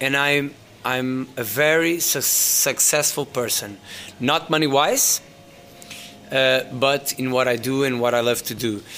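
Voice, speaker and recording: Noticeable background noise surrounds a man with a Portuguese accent who speaks at a medium pitch with ordinary pitch variation. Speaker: DJ and music entrepreneur. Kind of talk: interview.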